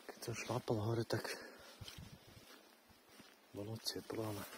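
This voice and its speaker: Calm and flat in a monotone, a man speaks at a fairly low pitch and a fairly slow pace. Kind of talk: ASMR forest walk talk to camera. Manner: soft-spoken, calm.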